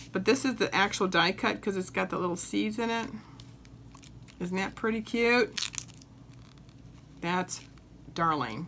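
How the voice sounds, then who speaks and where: A woman speaks at a medium pitch with a bright, sharp tone. Her pace is fairly slow and her intonation lively. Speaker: papercraft demonstrator. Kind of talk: craft tutorial. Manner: animated, enthusiastic.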